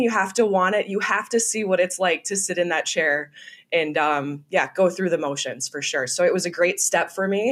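Here is a woman speaking with a Minnesota accent. Her pitch sits in the medium range. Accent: Minnesotan American. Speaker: sports broadcaster. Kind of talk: interview.

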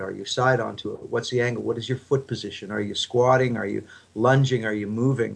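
Against a quiet background, a man with an ordinary speaking voice talks at medium pitch with fairly even intonation. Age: 50s. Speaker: fitness equipment entrepreneur and former rugby player. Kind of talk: interview.

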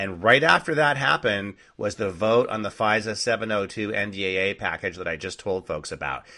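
Animated male speech, fairly low in pitch, with a bright, sharp tone. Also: ordinary pitch variation, moderate pace, hardly any pauses. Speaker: podcast host. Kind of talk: angry political rant.

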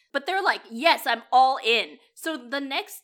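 A woman speaks at a high pitch in a raised, projected voice. Her tone is bright and sharp, and her intonation is lively. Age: 30s. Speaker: podcast co-host reviewing romantic comedies. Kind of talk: casual chat.

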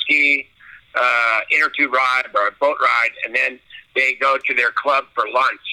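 A man talks with a Californian accent. His pace is moderate. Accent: Californian American. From Southern California. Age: 60s. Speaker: blind water sports athlete and Navy veteran. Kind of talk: interview. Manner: halting.

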